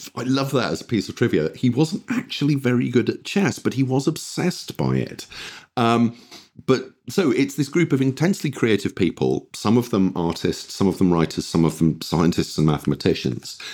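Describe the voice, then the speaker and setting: A man's medium-pitched voice with vocal fry and very wide pitch swings, at a moderate pace. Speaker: games designer and historian. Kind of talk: interview chat. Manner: hesitant, self-deprecating.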